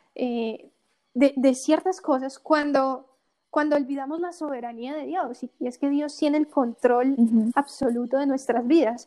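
Her tone is dark and mellow, set at a high pitch. The woman speaks at a fairly slow pace with fairly even intonation. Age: 20s. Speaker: online course creator. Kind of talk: casual interview.

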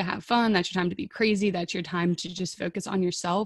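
At a fairly quick pace, a woman speaks in a somewhat breathy voice over a quiet background. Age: 20s. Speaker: podcast host and social media influencer. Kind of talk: casual interview chat.

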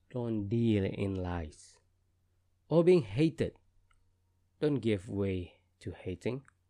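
A man with a dark, mellow tone and fairly low pitch, very slow pace with long, frequent pauses, lively intonation, quiet background. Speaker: podcast host reading aloud. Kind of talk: reading aloud poem; unedited casual intro. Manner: halting, with frequent fillers and repeats.

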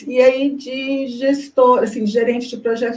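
The speaker uses monotone, flat intonation, with audible room echo. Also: woman. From Brazil, Goiânia (Goiás). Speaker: information science researcher and project management consultant. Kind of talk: interview.

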